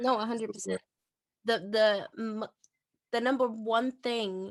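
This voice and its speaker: A woman with a non-native accent speaks in a fairly high voice. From Portugal, small town. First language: not English. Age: 20s. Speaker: podcast host and independent artist. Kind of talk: casual chat.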